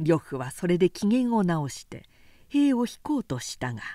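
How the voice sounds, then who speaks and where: Speaking at a fairly slow pace, a woman with a dark, mellow tone moves through very wide pitch swings. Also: very clean recording, silent background. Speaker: narrator reading aloud. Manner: animated, forceful and gruff in the fight, building tension; expressive, shifting between narration and character voices.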